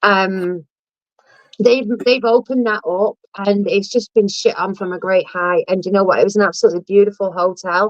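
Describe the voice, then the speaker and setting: A woman with a Lancashire accent speaks at a moderate pace and medium pitch. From northern England, Blackpool. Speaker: live stream host. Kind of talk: casual chat. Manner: animated.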